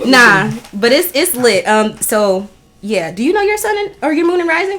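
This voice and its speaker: A woman's high voice with very wide pitch swings over noticeable background noise. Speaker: podcast host. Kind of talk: casual chat. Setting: in a house. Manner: fast.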